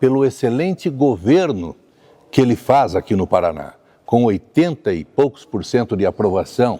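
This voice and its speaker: A man speaks at a moderate pace with lively intonation and a medium pitch. His tone is dark and mellow, and the sound is dry and close with no echo. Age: 60s. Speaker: state legislator. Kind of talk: political interview. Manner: animated.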